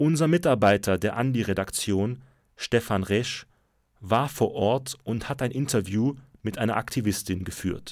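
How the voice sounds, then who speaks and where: In a very clean recording with a silent background, a man of medium pitch speaks fairly slowly with ordinary pitch variation in an unremarkable speaking voice. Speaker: radio news host. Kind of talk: news reading. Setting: studio.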